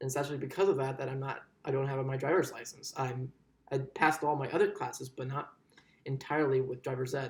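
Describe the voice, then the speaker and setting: Very fast, somewhat breathy speech with an American accent and monotone, flat intonation. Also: man, medium pitch for a man. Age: 20s. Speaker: student giving a speech. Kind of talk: persuasive speech. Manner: halting, with restarts.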